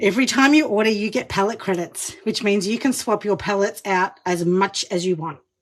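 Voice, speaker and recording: With an Australian accent, a woman speaks fairly quickly at a medium pitch, with ordinary pitch variation and hardly any pauses. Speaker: makeup demonstrator, live streamer. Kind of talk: live makeup tutorial. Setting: enclosed studio booth, live stream. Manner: animated.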